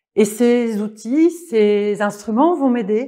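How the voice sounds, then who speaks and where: Against a quiet background, a woman speaks at a very slow pace in a dark, mellow tone with lively intonation. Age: 40s. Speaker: life coach. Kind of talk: online course presentation. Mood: warm, gentle, joyful. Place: home room.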